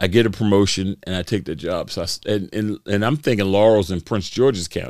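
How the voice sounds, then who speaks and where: A speaker with an American accent goes at a fairly quick pace with hardly any pauses and ordinary pitch variation. The sound is dry and close with no echo, in a very clean recording with a silent background. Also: man, fairly low pitch for a man. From Baltimore, Maryland. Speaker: former mayoral candidate and police spokesman. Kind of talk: casual interview.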